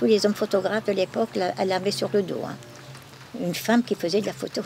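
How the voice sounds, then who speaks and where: A woman at a medium pitch rushes along at a very fast pace, her pitch varying in an ordinary way, while noticeable background noise carries on behind her. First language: Flemish (speaking French). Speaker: museum keeper. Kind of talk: testimony. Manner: halting.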